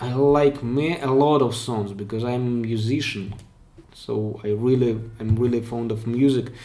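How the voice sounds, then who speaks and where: A man's medium-pitched, dark, mellow voice at a fairly slow pace, with audible room echo. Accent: non-native. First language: Russian. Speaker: pen spinning streamer. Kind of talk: live stream Q&A. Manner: halting, with self-corrections.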